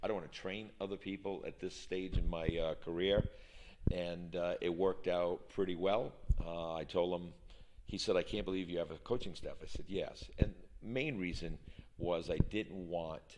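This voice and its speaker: A man with a very deep, low voice talks at a moderate pace with fairly even intonation. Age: 60s. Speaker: college soccer coach. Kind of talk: interview. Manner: frequent hesitations (uh).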